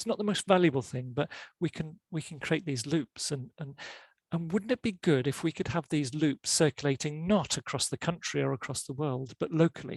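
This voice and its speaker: Against a quiet background, a man speaks at a fairly quick pace in a fairly high, somewhat breathy voice with ordinary pitch variation, the sound dry and close with no echo. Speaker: professor giving a talk. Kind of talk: lecture. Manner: halting, many repeated words and fillers.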